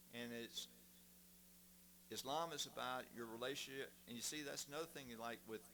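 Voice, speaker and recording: A man with a Southern US accent, medium pitch, a bright, sharp tone and ordinary pitch variation, at a moderate pace with long, frequent pauses. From US South, Mississippi. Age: 60s. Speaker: guest speaker. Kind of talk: testimony.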